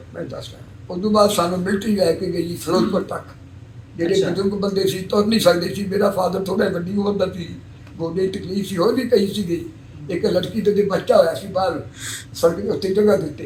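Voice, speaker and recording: Noticeable background noise sits behind a man's voice. He speaks at a high pitch with fairly even intonation. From Punjab, Pakistan (Kasur district). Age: 80s+. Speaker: 1947 Partition migrant. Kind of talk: interview answer.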